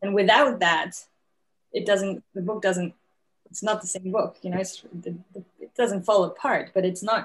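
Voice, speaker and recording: A woman's somewhat breathy voice at a moderate pace, fairly even in intonation, broken by long, frequent pauses. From Mexico. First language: Spanish. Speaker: novelist; guest. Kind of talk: lecture; interview answer. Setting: video call. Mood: relaxed, smiling. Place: home room. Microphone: video call.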